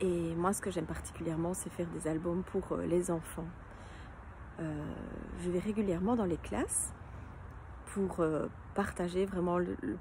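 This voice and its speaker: A woman talks fairly slowly in a fairly low voice with vocal fry and fairly even intonation. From Belgium, near Liège. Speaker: children's book illustrator and author. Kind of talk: casual self-presentation to camera. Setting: outdoors in her garden. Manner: hesitant, many fillers.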